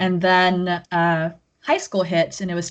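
With an American accent, a woman with a fairly low pitch talks at a moderate pace over a quiet background. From Texas (Houston). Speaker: copywriter and indie game developer. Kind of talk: casual interview. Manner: frequent loud laughter.

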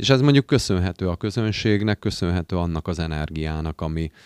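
In a very clean recording with a silent background, a man with a very deep, low voice and ordinary pitch variation sounds dry and close with no echo. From Hungary, Győr. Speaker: amateur operetta singer. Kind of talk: casual chat.

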